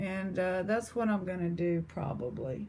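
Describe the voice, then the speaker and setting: In an East Texas accent, a woman speaks at a moderate pace with a fairly low pitch. Her intonation stays fairly even. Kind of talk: casual chat.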